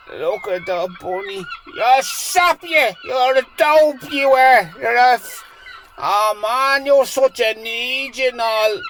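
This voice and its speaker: A man with a Dublin accent, extremely high pitch, lively intonation and a very slow pace, amid noticeable background noise. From Dublin, Ireland. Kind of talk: casual live commentary on a scene. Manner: excited, exasperated.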